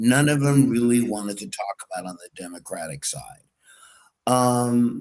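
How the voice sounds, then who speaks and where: A man with a normal speaking voice, medium pitch, lively intonation, and a moderate pace. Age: 60s. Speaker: political talk show co-host. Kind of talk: casual political talk.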